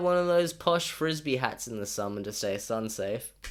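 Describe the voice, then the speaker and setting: A man in a strong Australian accent talks at a moderate pace with medium pitch and very wide pitch swings. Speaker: YouTuber. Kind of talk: scripted narration.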